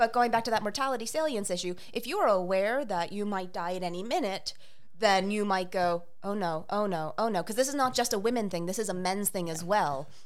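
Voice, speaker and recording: Here a woman uses a normal speaking voice at a medium pitch. Her pitch variation is ordinary. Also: fairly quick pace. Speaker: guest.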